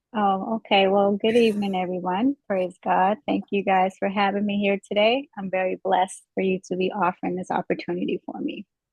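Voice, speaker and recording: With an American accent, a woman talks at a fairly quick pace with hardly any pauses, her medium pitch showing ordinary variation. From Midwest US, St. Louis. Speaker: police officer. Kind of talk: interview. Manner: hesitant, many fillers.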